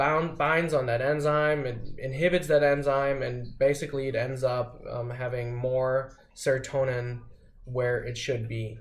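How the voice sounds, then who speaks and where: The delivery is fairly slow and somewhat breathy, with fairly even intonation. Audible room echo surrounds it. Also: man, medium pitch for a man. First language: not English. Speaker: vlogger sharing personal experience. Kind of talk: casual explanatory monologue. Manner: halting, many fillers and restarts. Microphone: poorly recorded.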